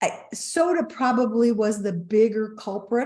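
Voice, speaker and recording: This woman's voice is fairly high in pitch, with a dark, mellow tone. She sounds somewhat breathy and speaks at a fairly slow pace. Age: 60s. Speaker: wellness company co-founder. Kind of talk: interview storytelling.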